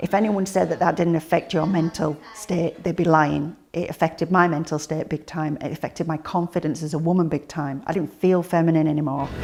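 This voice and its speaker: A woman with a British accent talks at a fairly quick pace with hardly any pauses. Her fairly low voice keeps a fairly even intonation. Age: 30s. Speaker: paraplegic catheter user, mother. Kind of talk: testimony.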